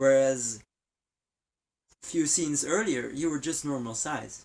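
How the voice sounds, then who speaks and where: Speaking at a moderate speed, a man carries a non-native accent. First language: not English. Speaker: game vlogger. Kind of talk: casual video review. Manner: halting.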